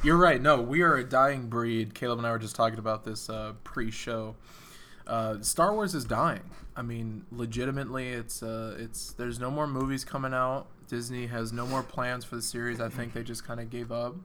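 At a moderate pace, a man speaks at medium pitch in a bright, sharp tone with fairly even intonation. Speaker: podcast co-host.

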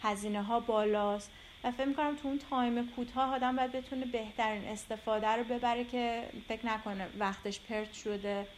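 A woman speaks in an ordinary speaking voice at a fairly high pitch, moving at a moderate pace with hardly any pauses. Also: fairly even intonation. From Iran, Tehran. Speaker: visual artist. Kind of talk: interview.

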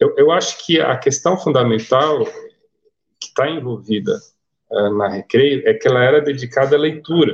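Somewhat breathy and fairly high in pitch, a man speaks at a moderate pace with ordinary pitch variation and long, frequent pauses. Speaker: comics writer. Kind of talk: casual chat.

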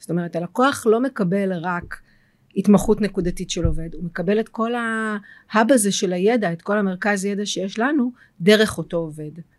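The speaker is a woman with medium pitch and a normal speaking voice. The recording is very clean, with a silent background. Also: ordinary pitch variation, moderate pace. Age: 40s. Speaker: tech company CEO. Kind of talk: interview.

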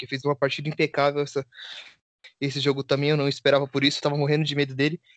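The recording of this man's fairly high voice is dry and close, with no echo. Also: quiet background. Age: 20s. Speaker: podcast co-host, football fan. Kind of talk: casual chat.

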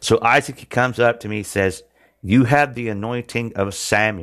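At a moderate pace and medium pitch, a man talks in a Southern US accent in a very clean recording with a silent background. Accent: Southern US twang, country. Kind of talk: testimony and sermon-style preaching. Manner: earnest, halting with fillers.

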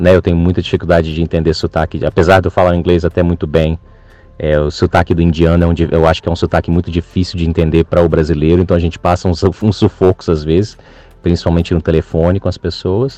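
In a dry, close sound with no echo, a man talks at a very fast pace with a very deep, low pitch, a dark, mellow tone and monotone, flat intonation. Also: very even loudness. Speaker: farm sector worker. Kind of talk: recorded voice message story. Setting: recorded audio message.

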